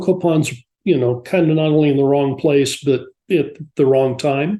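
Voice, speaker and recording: A man's fairly high, somewhat breathy voice with a dark, mellow tone at a moderate pace over a quiet background. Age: 70s. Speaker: scholar of Mesoamerica. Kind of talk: interview. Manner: hesitant, many fillers.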